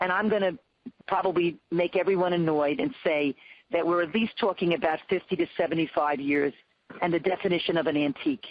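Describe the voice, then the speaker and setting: A woman with an unremarkable speaking voice talks at a fairly quick pace and fairly low pitch, with ordinary pitch variation and very even loudness. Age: 60s. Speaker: pediatrician and nonprofit leader. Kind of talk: webinar panel discussion. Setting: webinar.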